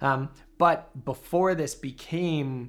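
Speaking with an American accent, a man uses ordinary pitch variation. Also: very clean recording, silent background. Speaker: university professor of classics. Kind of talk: casual interview chat. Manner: hesitant, filler-heavy.

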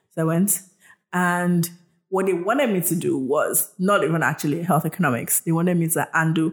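With a Nigerian accent, a woman talks at a fairly quick pace in a fairly low pitch, with ordinary pitch variation and very even loudness on a very clean recording with a silent background. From Nigeria, southwest (Yoruba). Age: 30s. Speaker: health tech entrepreneur. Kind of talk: interview storytelling. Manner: halting, many fillers.

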